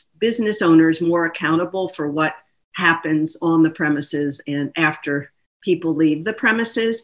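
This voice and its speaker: In a plain, everyday voice, a woman with an American accent speaks at a moderate pace, her fairly low pitch showing ordinary variation. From Philadelphia. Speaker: politician. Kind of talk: interview. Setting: video call.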